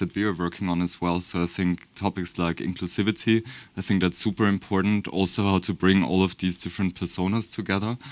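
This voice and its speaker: In a very clean recording with a silent background, a man with a German accent speaks at a fairly quick pace in a very deep, low pitch and a monotone, flat intonation. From Germany. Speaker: beauty brand marketer. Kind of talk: panel discussion.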